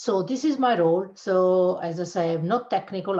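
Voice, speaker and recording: A woman speaks in a somewhat breathy voice with an Italian accent. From Italy (Abruzzo). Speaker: cybersecurity channel manager. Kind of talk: interview.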